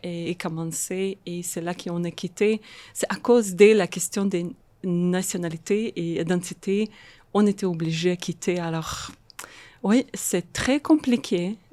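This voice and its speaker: Her pitch is fairly low for a woman, and her intonation stays fairly even. She speaks at a very slow pace. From Moldova (Transnistria), raised in Israel. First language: Russian (speaking French). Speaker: social worker and art therapist. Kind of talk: podcast interview. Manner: halting, many repetitions and hesitations; code-switching French and English.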